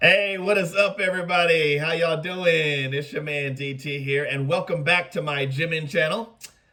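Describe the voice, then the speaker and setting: Over noticeable background noise, a man with a high voice speaks with hardly any pauses and ordinary pitch variation. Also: moderate pace. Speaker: YouTube reaction host. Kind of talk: casual reaction video. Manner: animated.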